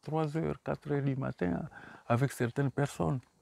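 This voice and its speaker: Dry and close with no echo, a man's voice moves in very wide pitch swings. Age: 60s. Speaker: author. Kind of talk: book talk. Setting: bookshop. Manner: halting.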